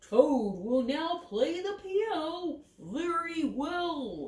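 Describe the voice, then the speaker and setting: A woman puts on a character voice with an extremely high pitch. She speaks at a very slow pace. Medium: read story.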